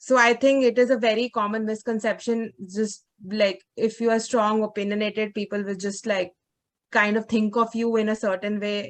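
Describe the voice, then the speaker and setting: A woman speaks at a moderate pace in a fairly high pitch, her intonation flat and monotone. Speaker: journalism workshop participant. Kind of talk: group discussion. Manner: loud.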